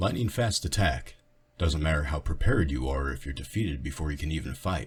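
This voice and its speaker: A man's put-on character voice, very deep and low in pitch, with lively intonation. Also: fairly quick pace. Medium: read story. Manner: terse, calm.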